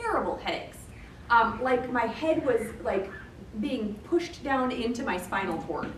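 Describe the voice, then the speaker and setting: With a Michigan accent, a woman speaks at a moderate pace in a high pitch with lively intonation, amid noticeable background noise and audible room echo. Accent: noticeably non-Floridian, Michigan. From Michigan, US Midwest. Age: adult. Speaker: educator, trainer. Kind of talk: professional training workshop.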